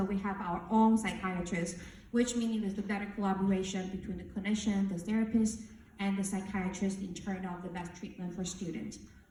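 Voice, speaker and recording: Fairly even intonation is heard through audible room echo and noticeable background noise. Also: woman. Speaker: university counselor. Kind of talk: orientation presentation. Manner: fast.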